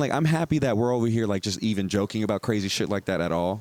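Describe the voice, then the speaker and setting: A man talking at a very fast pace, animated, with very wide pitch swings and very even loudness. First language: Spanish. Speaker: podcast host, stand-up comedian. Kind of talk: casual chat. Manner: animated, fast.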